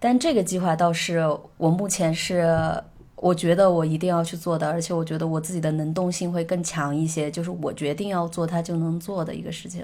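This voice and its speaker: At a fairly quick pace, a woman speaks in a monotone, flat intonation with a fairly low pitch. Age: 20s. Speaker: musician and travel blogger. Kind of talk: casual chat.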